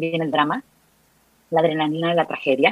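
Dry, close sound with no echo on a woman's voice. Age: 40s. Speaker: psychologist. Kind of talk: interview.

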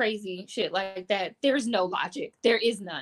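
A woman's medium-pitched voice with an American accent and ordinary pitch variation. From Detroit, Michigan. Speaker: crochet artist and yarn dyer. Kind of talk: casual interview chat.

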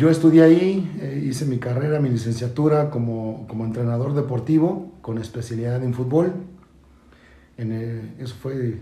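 Amid audible room echo, a man speaks in a dark, mellow tone that is somewhat breathy. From Mexico City. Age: 40s. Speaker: football coach. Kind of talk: casual chat. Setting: in-person studio recording. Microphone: distorted backup recording.

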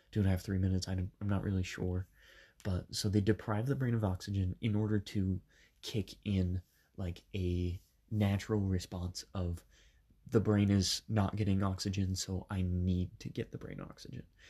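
At a moderate pace, a man speaks with a very deep, low pitch in a monotone, flat intonation. His voice is somewhat breathy over a quiet background. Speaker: podcast host. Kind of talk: personal storytelling. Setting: home bedroom. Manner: casual, many filler ums.

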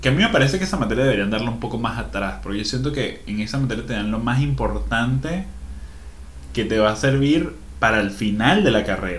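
Someone with a Venezuelan accent talks at a fairly quick pace, with audible room echo and noticeable background noise. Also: man. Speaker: podcast co-host. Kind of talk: casual chat. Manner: animated.

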